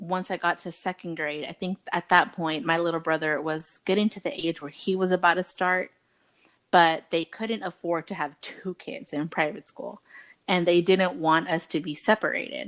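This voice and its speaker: A woman with a Spanish accent speaks at a moderate pace in a fairly low pitch with ordinary pitch variation, recorded dry and close with no echo in a very clean recording with a silent background. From US, Mexican-American family. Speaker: podcast co-host. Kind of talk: casual chat. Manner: casual, conversational.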